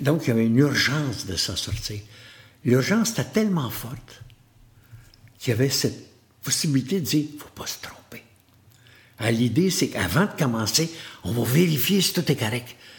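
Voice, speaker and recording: Speaking in a Quebec accent at a moderate pace, a man with a medium-pitched voice makes very wide pitch swings and takes long, frequent pauses. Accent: Québécois French. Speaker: motivational speaker. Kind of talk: interview conversation.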